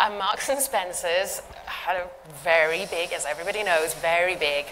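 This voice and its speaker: A woman with a British accent at a medium pitch and moderate pace, ordinary pitch variation, over noticeable background noise. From UK. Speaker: cybersecurity expert, panelist. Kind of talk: panel discussion.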